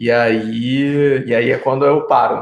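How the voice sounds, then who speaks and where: A man with a Rio de Janeiro accent speaks at a fairly high pitch, his intonation fairly even. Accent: Rio de Janeiro (carioca). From Rio de Janeiro, Brazil. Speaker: city council candidate. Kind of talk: casual chat. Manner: halting.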